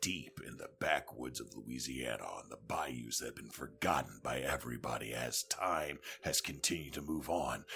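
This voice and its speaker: A man puts on a character voice with a very deep, low pitch, speaking at a moderate pace with ordinary pitch variation. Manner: dramatic, ominous narration.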